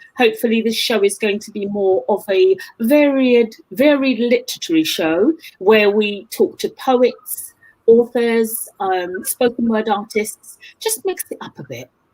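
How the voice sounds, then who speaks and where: Her voice fairly high, a woman speaks at a fairly slow pace with lively intonation and big swings in loudness. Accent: London. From East London, England. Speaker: book show host and author. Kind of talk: casual interview chat.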